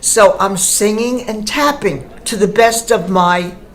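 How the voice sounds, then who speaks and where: Set against audible room echo and noticeable background noise, a woman speaks at medium pitch. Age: old. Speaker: retired performer, singer. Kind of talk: personal testimony.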